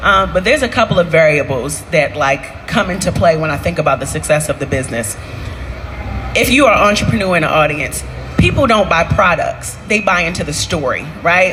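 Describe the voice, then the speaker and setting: Over music in the background and audible room echo, a woman speaks at a fairly quick pace with lively intonation. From Baltimore, Maryland, US. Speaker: entrepreneur, restaurant owner. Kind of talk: onstage interview. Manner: loud, high energy.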